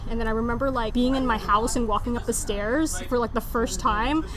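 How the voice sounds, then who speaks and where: A woman with a high pitch speaks at a fairly quick pace and with fairly even intonation. Audible room echo and noticeable background noise come through. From Philippine-born, grew up in Jakarta, Indonesia. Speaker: podcast guest. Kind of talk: casual chat.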